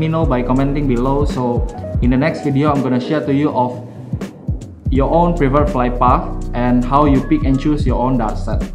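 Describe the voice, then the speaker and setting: A man speaks at a fairly quick pace. Clear music plays in the background. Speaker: darts player reviewing gear. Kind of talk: product review talk to camera. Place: home room.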